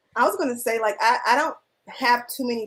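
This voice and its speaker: With an American accent, a woman speaks in a plain, everyday voice at a moderate pace with ordinary pitch variation. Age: 30s. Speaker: filmmaker and film teacher. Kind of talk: panel discussion.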